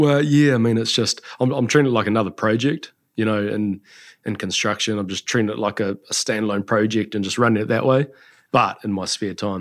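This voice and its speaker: A man with a New Zealand accent speaks at a fairly quick pace in a fairly low voice with ordinary pitch variation. The recording is very clean, with a silent background. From New Zealand, Taranaki. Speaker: skincare entrepreneur. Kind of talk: interview.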